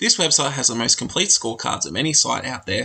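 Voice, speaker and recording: A man's very fast speech with a bright, sharp tone and vocal fry. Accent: Australian. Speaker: podcast host, teacher. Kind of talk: scripted narration.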